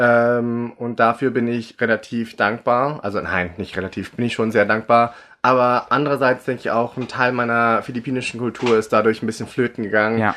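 The tone is bright and sharp, the intonation monotone and flat. It moves at a moderate pace with hardly any pauses. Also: man, medium pitch for a man. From Germany, raised from age five, born in the Philippines. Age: 30s. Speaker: drag artist. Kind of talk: casual chat.

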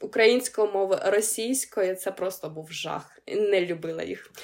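A woman with a Ukrainian accent at a fairly slow pace, ordinary pitch variation, on a very clean recording with a silent background

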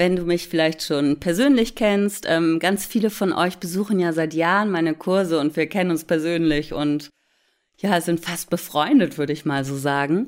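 The recording is very clean with a silent background as a woman with an ordinary speaking voice and fairly low pitch talks at a moderate pace with lively intonation. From Hamburg, northern Germany. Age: 40s. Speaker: relaxation therapist and meditation podcast host. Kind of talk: casual chat to listeners.

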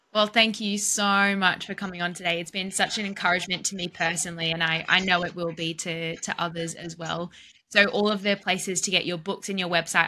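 With an ordinary speaking voice, a woman talks at a fairly quick pace in a fairly low pitch, her intonation fairly even. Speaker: podcast host. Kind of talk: interview. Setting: remote video call.

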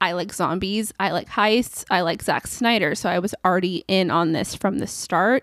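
Hardly pausing, the speaker talks at a moderate pace with a Californian accent and ordinary pitch variation in a very clean recording with a silent background. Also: woman, medium pitch for a woman. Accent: Californian American. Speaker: film review podcaster. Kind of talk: solo podcast monologue. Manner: casual, chatty.

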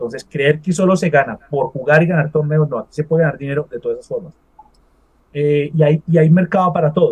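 A man's fairly high, unremarkable speaking voice, fairly quick and fairly even in intonation, with big swings in loudness. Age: 40s. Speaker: esports event organizer. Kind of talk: interview.

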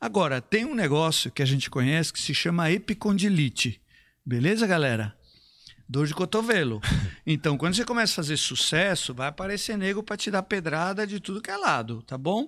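On a very clean recording with a silent background, a man with a high pitch talks at a fairly quick pace, his voice making very wide pitch swings. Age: 50s. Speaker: fitness trainer and business mentor. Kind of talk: live stream conversation.

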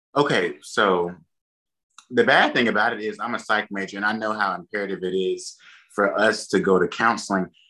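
Over a quiet background, a man with a fairly low pitch and a bright, sharp tone speaks with fairly even intonation. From Enterprise, Alabama. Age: 20s. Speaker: personal trainer. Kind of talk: casual podcast chat.

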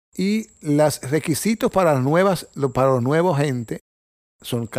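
A man's voice moves through very wide pitch swings. The recording is very clean with a silent background. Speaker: cardiologist and nature photographer. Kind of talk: casual interview. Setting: guest's home. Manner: halting.

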